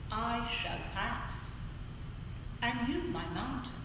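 Strong room echo and noticeable background noise surround the recording. A woman speaks at a very slow pace. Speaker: spoken word performer. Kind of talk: poetry reading. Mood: emotional, longing. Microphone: camera far.

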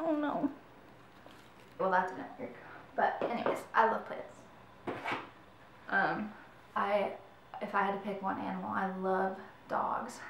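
A woman with an American accent, medium-pitched and lively in intonation, at a very slow pace with long, frequent pauses, amid noticeable background noise and audible room echo. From Michigan. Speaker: YouTuber. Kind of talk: casual vlog talk. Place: home room. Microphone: camera far.

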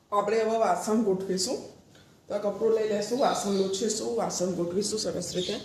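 Amid audible room echo and noticeable background noise, a woman talks at a medium pitch with fairly even intonation. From Mehsana, Gujarat. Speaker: vlogger and mother. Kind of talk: casual home vlog.

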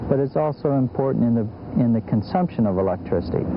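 A man races along at a very fast pace with very wide pitch swings over noticeable background noise. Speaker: project manager, solar engineer. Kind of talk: explanatory interview or on-camera explanation. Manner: plain, conversational, explanatory. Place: open country.

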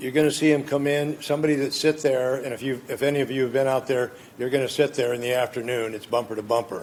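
A man speaks very fast with an American accent at a medium pitch. His intonation stays monotone and flat. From California, Gilroy. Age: 70s. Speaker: appellant at city council. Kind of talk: public hearing testimony. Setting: city council chambers. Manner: loud.

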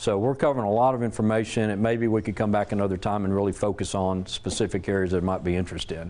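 A man's fairly low voice with a Southern US accent and ordinary pitch variation. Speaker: safety presenter and military veteran. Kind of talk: presentation to an audience. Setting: church hall with live audience. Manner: loud; casual, conversational.

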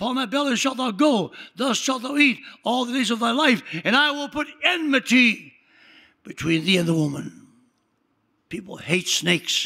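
A man's raised, projected voice has an animated, bright, sharp tone and an extremely high pitch with very wide swings. He keeps a moderate pace, with long, frequent pauses. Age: 80s+. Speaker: pastor. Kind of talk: sermon. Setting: church.

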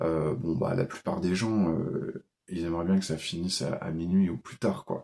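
Speaking at a fairly slow pace, a man has a very deep, low voice. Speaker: role-playing game video maker; tabletop role-playing game host. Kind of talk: casual monologue tutorial. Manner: hesitant, many fillers. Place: home room. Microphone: phone near.

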